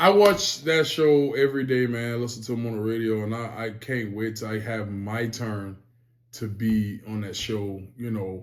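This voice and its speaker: A man with an American accent speaks at medium pitch and a moderate pace, with fairly even intonation. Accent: Charleston Geechee dialect. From Charleston, South Carolina (Lowcountry). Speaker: rapper. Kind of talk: interview. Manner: casual, slangy.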